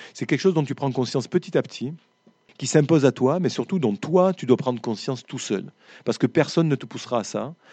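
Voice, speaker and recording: Over a quiet background, a man speaks at a fairly quick pace in a dark, mellow tone with lively intonation, the sound dry and close with no echo. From southwest France, foot of the Pyrenees. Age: 50s. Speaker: writer. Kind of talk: interview with school pupils. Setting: school library with live audience. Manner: frequent word repetitions and hesitations.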